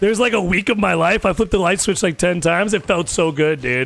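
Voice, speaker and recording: Talking at a very fast pace with a Chicago accent, a man uses a high pitch, an animated tone and ordinary pitch variation. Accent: sounds argumentative due to Chicago origin. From US Midwest, Chicago area. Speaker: gaming streamer. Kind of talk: casual chat. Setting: live stream.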